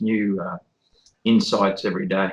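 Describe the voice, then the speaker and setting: A man is talking. His accent is Australian. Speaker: electrical engineer and independent theorist. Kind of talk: interview self-introduction. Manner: halting, many fillers.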